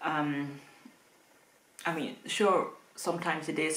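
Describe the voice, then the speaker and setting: A woman with a Dutch accent and a very deep, low voice speaks amid audible room echo. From Netherlands. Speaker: booktuber. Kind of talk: casual vlog talk to camera. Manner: hesitant, many fillers (um).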